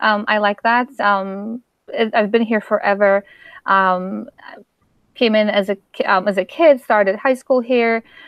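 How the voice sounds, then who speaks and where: Speaking at a fairly slow pace with very even loudness, a woman with a Polish accent holds a fairly high pitch with ordinary pitch variation. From Poland. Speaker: author. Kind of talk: interview. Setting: live stream. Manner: halting.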